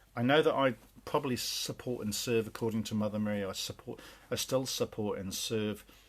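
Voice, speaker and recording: A man with an English accent, fairly low in pitch, at a moderate pace with ordinary pitch variation. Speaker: spiritual channeler. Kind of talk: spiritual talk. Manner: hesitant, many fillers.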